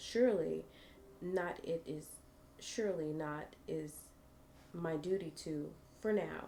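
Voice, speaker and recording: A woman speaks in a calm tone. Her voice is soft-spoken. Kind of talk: reading a fantasy story aloud with different character voices. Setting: live stream with ASMR microphone. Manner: calm, soft-spoken.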